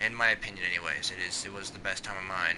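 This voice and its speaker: Talking very fast with an American accent, a man is heard against noticeable background noise. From US Pacific Northwest, Washington. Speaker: gaming streamer. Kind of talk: casual chat.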